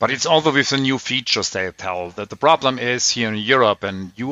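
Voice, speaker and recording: A man with a German accent speaks at a moderate pace in a medium-pitched voice. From Germany. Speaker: tech podcast host. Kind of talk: casual chat.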